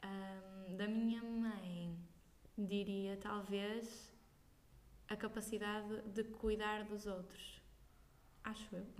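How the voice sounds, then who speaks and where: Very slowly and with long, frequent pauses, a woman at a medium pitch speaks in a monotone, flat way amid audible room echo. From northern Portugal, Braga. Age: young. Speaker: singer. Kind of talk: casual interview. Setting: at home.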